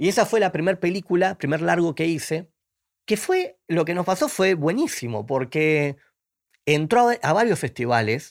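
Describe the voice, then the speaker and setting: In a very clean recording with a silent background, a man speaks at a high pitch. His intonation is lively. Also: moderate pace, very even loudness. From Argentina, Buenos Aires. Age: 40s. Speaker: film director. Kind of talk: interview.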